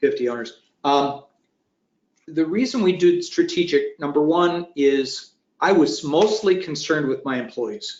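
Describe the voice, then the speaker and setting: At a fairly slow pace, a man with an American accent talks at a fairly high pitch and lively intonation. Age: 60s. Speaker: retired manufacturing business owner. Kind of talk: webinar roundtable discussion. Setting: online webinar. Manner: halting, many restarts.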